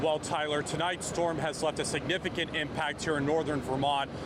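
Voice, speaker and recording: There is noticeable background noise. Over it, a man talks fairly quickly at a fairly high pitch. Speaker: TV reporter and anchor. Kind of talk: TV news reporting and anchoring. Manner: live-shot stand-up delivery, clear and energetic.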